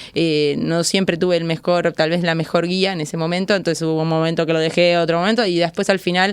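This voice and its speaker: A woman speaks in a fairly low pitch with an Argentine accent. Her intonation stays fairly even. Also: very clean recording, silent background. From Argentina. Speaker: athlete and coach. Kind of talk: interview.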